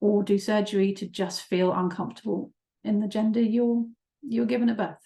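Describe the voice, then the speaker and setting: A woman with an English accent speaks at a moderate pace and a fairly high pitch, her dark, mellow tone somewhat breathy and her intonation fairly even. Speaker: psychotherapist. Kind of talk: webinar presentation. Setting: online webinar. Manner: hesitant, many fillers.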